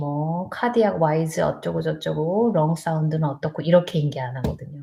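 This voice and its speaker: A woman's very deep, low voice, dark and mellow in tone and somewhat breathy, at a moderate pace with ordinary pitch variation. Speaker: nurse. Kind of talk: live stream chat. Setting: live stream on borrowed laptop. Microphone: laptop mic, unsure if audio works.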